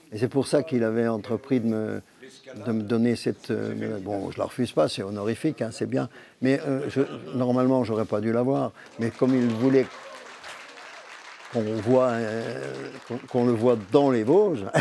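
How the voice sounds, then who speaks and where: Crowd noise fills the background. A man speaks at a medium pitch and a moderate pace with ordinary pitch variation and long, frequent pauses. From Vosges, Lorraine, France. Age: 80s+. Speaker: humorist, storyteller. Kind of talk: interview answer.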